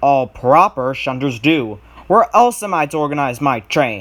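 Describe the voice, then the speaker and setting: Putting on a rumbling character voice, a man with a fairly high pitch speaks at a moderate pace on a very clean recording with a silent background. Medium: read story. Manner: fussy, grumbling.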